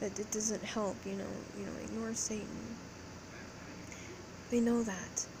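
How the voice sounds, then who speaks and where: Through loud background noise, a soft-spoken woman talks at a moderate pace in a weary tone. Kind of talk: casual vlog chat. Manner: soft, weary, sleep-deprived low voice. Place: home room. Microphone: phone near.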